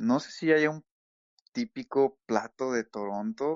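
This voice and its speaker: Speaking at a very slow pace, a man uses a medium pitch and lively intonation. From Mexico. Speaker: immigrant interviewee. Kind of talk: casual interview. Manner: halting, many fillers.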